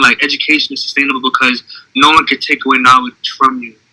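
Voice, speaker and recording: Recorded dry and close with no echo, a man with an American accent talks at a very fast pace and fairly high pitch. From US Northeast, Boston. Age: 20s. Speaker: motivational speaker. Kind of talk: interview.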